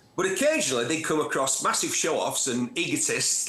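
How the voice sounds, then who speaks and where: Noticeable background noise sits behind this speaker. He is a man with a Manchester accent and fairly high pitch. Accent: gritty North Manchester. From northern England, Bury, Lancashire and North Manchester. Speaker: motoring TV presenter and journalist. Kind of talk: interview. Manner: animated storytelling.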